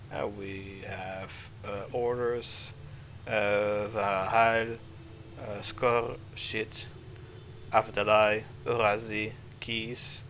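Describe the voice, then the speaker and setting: A man's fairly low voice, very slow and monotone, with long, frequent pauses, big swings in loudness and audible room echo. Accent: non-native. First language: not English. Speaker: vtuber game streamer. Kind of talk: gameplay livestream commentary. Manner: halting, many fillers.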